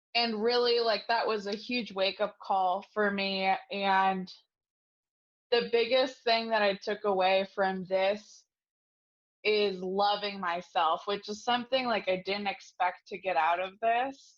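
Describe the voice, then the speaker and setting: An unremarkable speaking voice at a fairly slow pace, with fairly even intonation and a quiet background. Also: woman, medium pitch for a woman. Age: 20s. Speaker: program participant. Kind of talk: testimony. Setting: video call.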